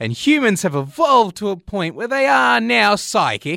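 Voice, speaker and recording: With an Australian accent and a bright, sharp tone, a man speaks at a moderate pace with very wide pitch swings, in a very clean recording with a silent background and a dry, close sound with no echo. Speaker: comedy radio show co-host. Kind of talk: comedic radio banter. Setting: studio.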